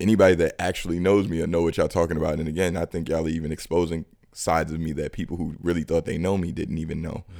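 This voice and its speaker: With a New York accent, a man speaks very fast in a very deep, low, dark and mellow voice, his intonation monotone and flat. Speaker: criminal justice advocate. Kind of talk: casual chat.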